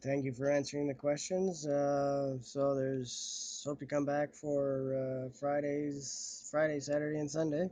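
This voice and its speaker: A man's fairly high voice, fairly slow and monotone, with flat intonation. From Canada. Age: 40s. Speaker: livestreaming artist. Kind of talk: casual livestream chat. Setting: phone livestream. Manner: halting.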